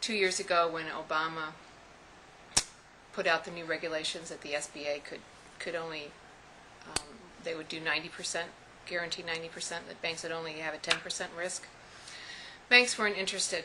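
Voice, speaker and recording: Over noticeable background noise, a woman with a fairly low voice talks at a fairly quick pace with long, frequent pauses, fairly even intonation and big swings in loudness. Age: 60s. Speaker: small business owner. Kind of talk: personal testimony.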